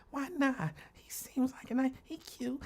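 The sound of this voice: Using a put-on character voice, a female-sounding speaker talks soft-spoken at a high pitch and a moderate pace.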